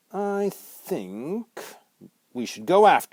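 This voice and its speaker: A put-on character voice at a middle pitch and a very slow pace. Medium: read story.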